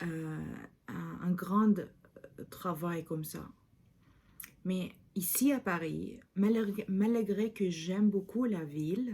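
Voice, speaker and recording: Somewhat breathy and dark, mellow in tone, a woman's medium-pitched voice moves at a very slow pace with ordinary pitch variation and long, frequent pauses. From Lebanon. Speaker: video diarist. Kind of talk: vlog monologue. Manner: halting, many hesitations.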